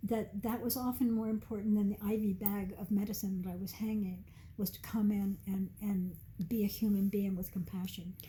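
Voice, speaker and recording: The tone is dark and mellow, a little breathy. Intonation stays flat and monotone. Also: woman, medium pitch for a woman, moderate pace. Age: 70s. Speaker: nurse and cancer survivor. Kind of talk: interview.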